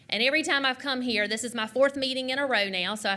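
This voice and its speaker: In an American accent, a woman speaks with ordinary pitch variation over noticeable background noise. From US South, South Carolina. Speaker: public commenter at council meeting. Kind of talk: public comment. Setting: council meeting room. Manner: fast.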